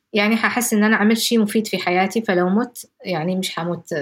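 The speaker talks at a moderate pace in a somewhat breathy voice. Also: woman. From Yemen, Jibla. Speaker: activist. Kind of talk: interview testimony. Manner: soft-spoken.

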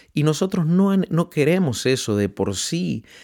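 On a very clean recording with a silent background, a man speaks at a fairly slow pace. His pitch makes very wide swings. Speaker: radio host and preacher.

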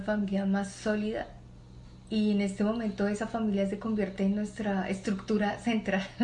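In a room with audible echo, a woman speaks at a medium pitch and moderate pace in a somewhat breathy, flat monotone. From Colombia, Bogotá. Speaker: mechanical engineer and entrepreneur. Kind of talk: interview. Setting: at a relative's home, not a studio.

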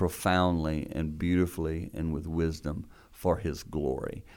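On a very clean recording with a silent background, a man with a very deep, low pitch speaks at a very slow pace. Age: 60s. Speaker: ministry founder and author. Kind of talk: interview.

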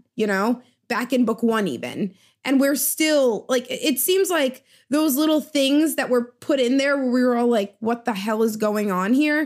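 High-pitched woman at a moderate pace, ordinary pitch variation and very even loudness, very clean recording with a silent background. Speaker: podcast co-host. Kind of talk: casual chat.

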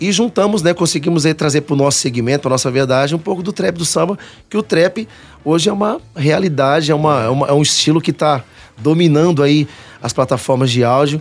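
Speaking at a fairly quick pace, a man uses a fairly high pitch with ordinary pitch variation, an unremarkable speaking voice. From Cuiabá, Mato Grosso, Brazil. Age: 30s. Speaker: pagode band vocalist. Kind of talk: radio interview. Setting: radio studio.

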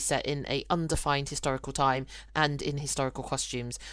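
A woman speaks in a British accent at a fairly quick pace. The background is quiet. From UK. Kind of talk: casual podcast conversation.

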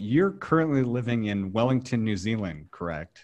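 A normal speaking voice from a man, medium in pitch, with lively intonation at a fairly quick pace. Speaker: podcast host. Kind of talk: interview conversation. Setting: video call.

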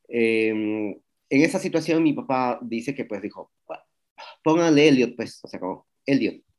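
Speaking at a fairly slow pace, a man with a medium pitch shows big swings in loudness. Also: lively intonation. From Peru. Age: 40s. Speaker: street artist. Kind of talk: interview conversation. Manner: hesitant, with fillers.

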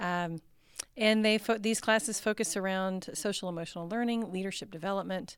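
In an American accent, a woman with a normal speaking voice and medium pitch talks at a fairly quick pace on a very clean recording with a silent background. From Texas. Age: 50s. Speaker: educator and nonprofit training director. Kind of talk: podcast interview.

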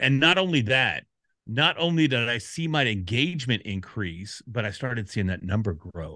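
A plain, everyday voice with an American accent moves at a fairly quick pace with lively intonation. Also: man. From Texas, Dallas. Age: 50s. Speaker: podcast community expert. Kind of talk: interview. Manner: casual.

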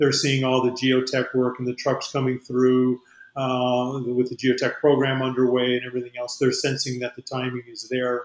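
A man with an American accent speaks at a medium pitch and a moderate pace, his intonation monotone and flat. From New Mexico, US. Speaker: aerospace company CEO. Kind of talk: interview.

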